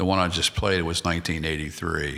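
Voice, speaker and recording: A man's very deep, low voice with a bright, sharp tone and an American accent. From US, Maryland. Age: 60s. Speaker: musician and podcast host. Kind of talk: casual podcast talk. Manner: halting, many fillers.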